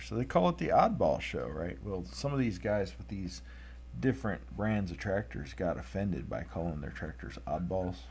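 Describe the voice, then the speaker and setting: A man's very deep, low voice with vocal fry and very wide pitch swings, at a moderate pace, with audible room echo. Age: 30s. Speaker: artist drawing tractors. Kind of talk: live-stream drawing commentary. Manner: casual, conversational.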